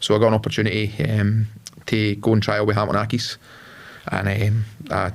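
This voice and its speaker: At a fairly quick pace, a man with a Lanarkshire accent speaks in a fairly low pitch. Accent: Scottish (Lanarkshire). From Scotland, Lanarkshire (Carfin near Motherwell). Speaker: entrepreneur, former footballer. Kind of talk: podcast interview. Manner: hesitant, many fillers.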